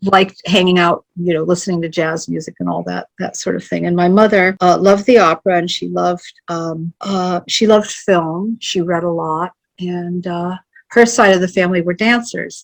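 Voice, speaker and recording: The speaker has an American accent and keeps a moderate pace with fairly even intonation. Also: woman, fairly low pitch for a woman. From US Midwest, Ohio. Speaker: poet and painter. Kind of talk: interview. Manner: rambling.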